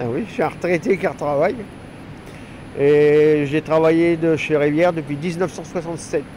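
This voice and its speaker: Long, frequent pauses break up speech with fairly even intonation. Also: man, fairly high pitch for a man, moderate pace. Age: 60s. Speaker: retired factory worker and trainer. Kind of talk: interview. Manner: casual, halting.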